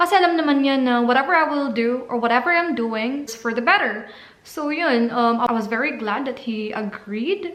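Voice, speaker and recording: A woman's high voice with a Visayan Filipino accent, lively intonation, a moderate pace, hardly any pauses and audible room echo. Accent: Filipino (Cebuano) English. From Philippines, Cebu. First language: Cebuano. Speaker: vlogger, au pair. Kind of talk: casual vlog talk.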